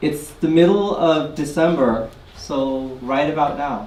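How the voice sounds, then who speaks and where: A man speaks with a fairly high pitch. His pitch varies in an ordinary way over noticeable background noise. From Guyana. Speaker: community activist. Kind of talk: live personal storytelling. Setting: live audience event. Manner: conversational, casual.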